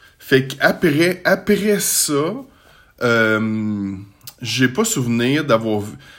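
Very wide pitch swings from a man speaking very slowly. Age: 40s. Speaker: podcaster. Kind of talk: casual monologue. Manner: halting.

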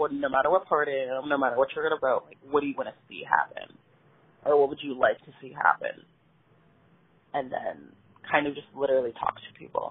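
With an American accent, a woman speaks with long, frequent pauses and big swings in loudness. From Pittsburgh, Pennsylvania. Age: 20s. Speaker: political candidate. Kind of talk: interview. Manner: hesitant, many fillers.

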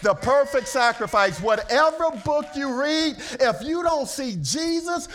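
Noticeable background noise accompanies a man whose pitch swings very widely at a moderate pace. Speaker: preacher. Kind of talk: sermon. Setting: church. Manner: animated, preacher in full flow, call-and-response fervor; casual and joking between serious points.

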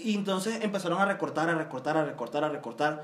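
The pace of speech is fairly quick. Audible room echo colors the recording. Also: man. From Venezuela. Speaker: Venezuelan guest commenting on politics. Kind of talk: casual chat.

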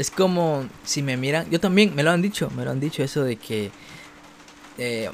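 A man's fairly high voice at a moderate pace, ordinary pitch variation, and noticeable background noise. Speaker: podcast host and youtuber. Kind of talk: casual chat. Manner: neutral Spanish modulation.

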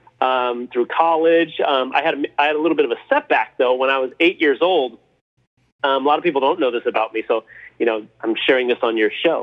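A man with a Californian accent and a fairly high voice talks at a fairly quick pace with ordinary pitch variation. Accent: Californian American. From Los Angeles, California. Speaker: former pro baseball player and business coach. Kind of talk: interview podcast.

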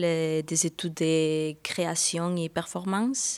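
Over a silent background in a very clean recording, a woman speaks at a very slow pace with fairly even intonation. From Spain and Brazil. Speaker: dancer and performer. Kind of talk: interview. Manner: halting.

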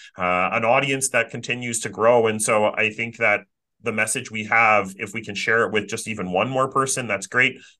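A man talks at a moderate pace and medium pitch with fairly even intonation. He has an ordinary speaking voice. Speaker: career coach and podcast host. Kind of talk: casual conversational podcast chat.

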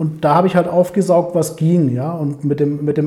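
A man's fairly high voice, dark and mellow in tone, with ordinary pitch variation. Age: 40s. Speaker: sales professional. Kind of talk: casual interview.

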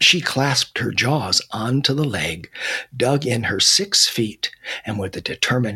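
A natural reading voice with pitch varying in an ordinary way

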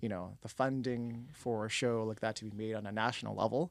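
A man with a Canadian accent and an ordinary speaking voice, medium pitch, a fairly quick pace, and a very clean recording with a silent background. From Canada, Toronto (Scarborough). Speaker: film and TV director. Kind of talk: interview conversation. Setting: studio.

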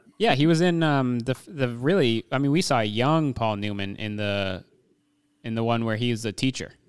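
An ordinary speaking voice with lively intonation, delivered at a moderate pace. The recording is very clean, with a silent background. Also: man, medium pitch for a man. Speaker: podcast co-host. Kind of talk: casual chat.

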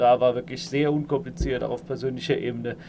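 This man's voice has vocal fry. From Saarland, Germany. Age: 30s. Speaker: engineering manager. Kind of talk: interview. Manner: hesitant, many fillers.

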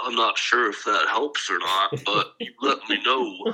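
Speaking at a fairly slow pace, a man puts on a character voice.

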